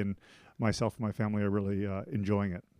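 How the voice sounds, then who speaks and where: In a very clean recording with a silent background and a dry, close sound with no echo, a man with a Canadian accent speaks very fast at a fairly low pitch with a dark, mellow tone. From Canada. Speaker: school principal. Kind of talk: casual chat.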